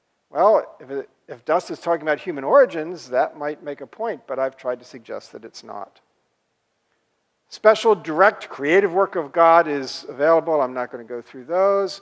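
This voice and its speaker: A plain, everyday voice at a moderate pace, with big swings in loudness and ordinary pitch variation. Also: man, fairly high pitch for a man. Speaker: professor. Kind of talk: lecture.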